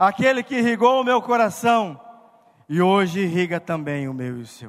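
Very wide pitch swings and an animated tone from a man at a fairly slow pace. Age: 40s. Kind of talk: sermon. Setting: stage with audience.

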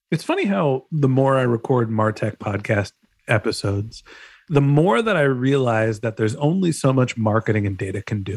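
A man with an ordinary speaking voice talks at a moderate pace and a medium pitch, with ordinary pitch variation and a dry, close sound with no echo. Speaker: podcast host. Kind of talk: casual interview.

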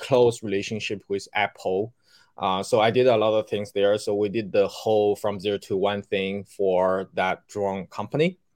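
A man with a Chinese accent speaks in a fairly low voice. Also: quiet background. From China. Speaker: hardware wallet company CEO. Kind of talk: interview.

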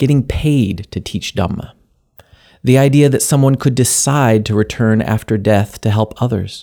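Here is a man with an ordinary speaking voice, medium in pitch and moderate in pace, with ordinary pitch variation. The recording is very clean, the background silent. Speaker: podcast host. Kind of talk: scripted narration.

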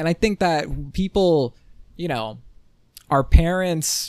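A man speaks in an animated tone with ordinary pitch variation. The recording is very clean, with a silent background. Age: 20s. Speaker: solo podcast host. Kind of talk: casual solo monologue.

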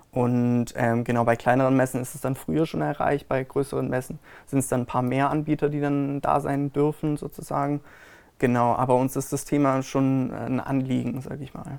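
Monotone, flat delivery at a moderate pace, on a very clean recording with a silent background. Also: man, medium pitch for a man. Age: 20s. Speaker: wedding fair organizer. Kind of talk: interview. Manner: hesitant, many fillers.

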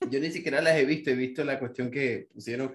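In a normal speaking voice, a man holds a medium pitch and keeps his intonation fairly even. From Venezuela, Maracaibo. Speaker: designer and YouTube creator. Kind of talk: casual chat.

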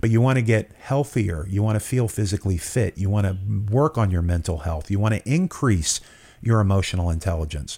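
On a very clean recording with a silent background, a man talks at a fairly quick pace with a fairly low pitch. His voice is somewhat breathy and his intonation lively. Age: 50s. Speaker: podcast host and entrepreneur. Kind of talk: interview podcast.

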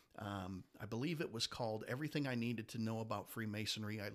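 A man's medium-pitched voice moves at a very fast pace. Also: hardly any pauses. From Detroit, Michigan. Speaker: Masonic leader. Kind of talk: casual interview.

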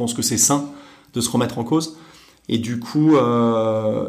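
Audible room echo follows a man of medium pitch whose intonation is fairly even. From France, Normandy (Deauville). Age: 40s. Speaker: startup executive. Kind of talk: interview. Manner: halting, many fillers.

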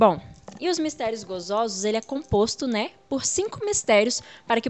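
A woman talks fairly slowly, her pitch fairly high. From Brazil, Espírito Santo (Muniz Freire). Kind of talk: religious teaching interview. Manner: frequent fillers and hesitations.

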